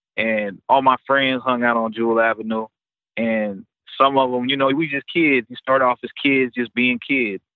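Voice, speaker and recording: An unremarkable speaking voice belongs to a man with an American accent, who talks at a moderate pace and medium pitch with fairly even intonation. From Topeka, Kansas (raised partly in Memphis). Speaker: rapper. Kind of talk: casual interview. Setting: phone call.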